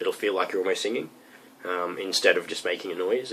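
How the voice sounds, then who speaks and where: A man with an Australian accent. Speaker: metal vocalist. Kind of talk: tutorial. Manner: casual, hesitant with many ums.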